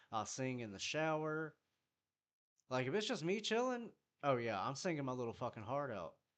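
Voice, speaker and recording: A man speaks at a fairly high pitch with very wide pitch swings. His tone is bright and sharp. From US South, South Carolina. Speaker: music producer streamer. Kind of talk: casual live stream chat. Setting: live stream. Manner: casual, profane.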